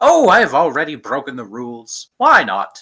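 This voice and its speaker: The speaker uses a put-on character voice at a low-to-middle pitch and a moderate pace. The recording is very clean, with a silent background. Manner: skittering, quirky.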